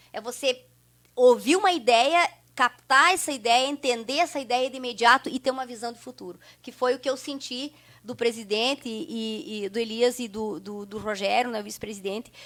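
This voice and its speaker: A woman with a high pitch speaks at a moderate pace with ordinary pitch variation and big swings in loudness, on a very clean recording with a silent background. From southern Brazil, rural Santa Rosa area (Rio Grande do Sul). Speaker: researcher of local immigrant history. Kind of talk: interview conversation. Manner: hesitant, many fillers and repetitions.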